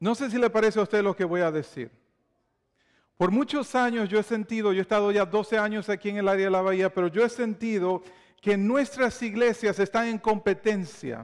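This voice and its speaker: A man with a Dominican accent talks at a moderate pace in a high pitch, with ordinary pitch variation and a quiet background. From Dominican Republic. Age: 40s. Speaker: pastor. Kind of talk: sermon. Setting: church. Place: church. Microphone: lapel.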